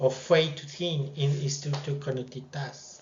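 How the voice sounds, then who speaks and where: A man with a non-native accent and a fairly high pitch talks at a fairly slow pace, with audible echo in the room. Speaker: student presenting a project. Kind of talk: project presentation. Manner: halting, with fillers.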